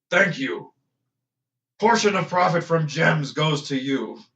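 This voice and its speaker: A fairly high-pitched man's put-on character voice at a fairly slow pace. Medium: actual play. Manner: terse, broken grammar.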